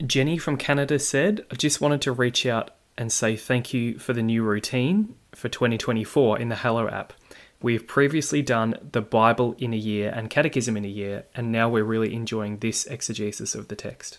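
With an Australian accent, a man talks at a medium pitch with fairly even intonation on a very clean recording with a silent background. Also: moderate pace. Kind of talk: monologue reading listener feedback. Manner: warm, earnest, conversational.

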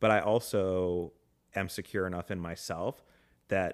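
On a very clean recording with a silent background, a man with a fairly low pitch has an ordinary speaking voice with ordinary pitch variation. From Atlanta, Georgia, US. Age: 30s. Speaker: nomad living in an RV. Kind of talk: casual chat.

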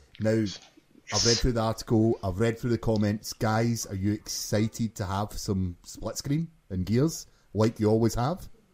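The voice has a Glasgow accent and a dark, mellow tone, moving at a moderate pace with ordinary pitch variation. The recording is very clean, with a silent background. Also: man, medium pitch for a man. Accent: Scottish (Glaswegian). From Glasgow, Scotland. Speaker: podcast co-host. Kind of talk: casual chat, podcast.

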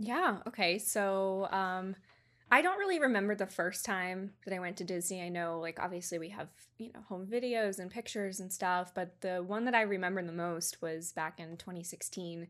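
An ordinary speaking voice, a woman with an American accent talks at a moderate pace and medium pitch, her intonation fairly even while her loudness swings a lot. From Georgia, US. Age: 20s. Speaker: photographer. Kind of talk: casual interview.

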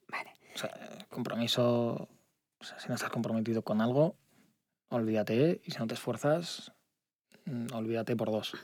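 Speaking at a moderate pace with long, frequent pauses, a man uses medium pitch and ordinary pitch variation. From Spain, Alicante province (Altea). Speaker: startup CEO. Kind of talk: interview. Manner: halting.

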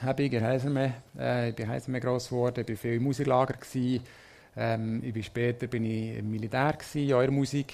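A man speaks in a normal speaking voice. His pace is fairly quick and his intonation fairly even. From Switzerland, near Bern (Münsingen). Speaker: marketing manager, former Eurovision delegation lead. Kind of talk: live interview before audience.

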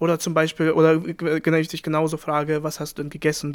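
A man speaks very fast with a non-native accent. His pitch is fairly high. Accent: foreign accent in German. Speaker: podcast co-host. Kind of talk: casual chat.

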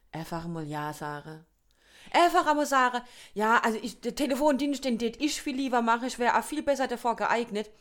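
A high-pitched woman at a fairly quick pace, with very wide pitch swings, in a very clean recording against a silent background. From Kurpfalz region, southwest Germany. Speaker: podcast co-host. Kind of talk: casual chat.

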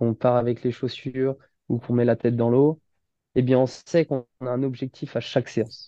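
A man's voice has a dark, mellow tone at medium pitch with fairly even intonation. The sound is dry and close, with no echo. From western France, Nantes and Saint-Nazaire. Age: 20s. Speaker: amateur triathlete and firefighter. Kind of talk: interview. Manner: halting, many fillers.

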